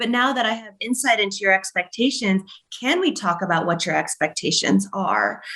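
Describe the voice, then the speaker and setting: With vocal fry and lively intonation, a woman talks at a moderate pace and a medium pitch. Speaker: business coach. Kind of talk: podcast interview. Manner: animated.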